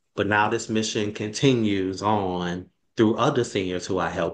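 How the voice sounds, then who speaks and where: Against a quiet background, a man talks with a New Orleans accent. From New Orleans, Louisiana. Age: 30s. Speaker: fitness program founder. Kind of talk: interview. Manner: halting, many fillers.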